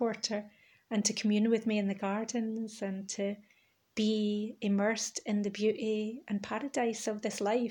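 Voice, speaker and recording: In a very clean recording with a silent background, a woman with a fairly high pitch speaks somewhat breathily at a moderate pace in a monotone, flat intonation. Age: 40s. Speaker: spiritual artist podcaster. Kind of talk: monologue.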